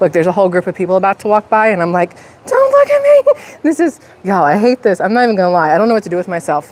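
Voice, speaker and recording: A woman at a very fast pace, medium pitch, ordinary pitch variation and very even loudness. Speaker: YouTuber live streaming. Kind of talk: casual live stream chat. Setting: outdoors at the beach next to a restaurant.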